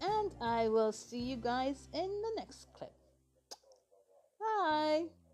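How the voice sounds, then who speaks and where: A woman speaks very slowly, with long, frequent pauses. Her high voice swings very widely in pitch. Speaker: vlogger. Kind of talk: casual vlog. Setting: at home.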